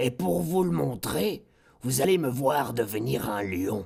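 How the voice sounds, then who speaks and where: Raspy and fairly slow, a man performs a put-on character voice at a medium pitch. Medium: read story. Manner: brusque.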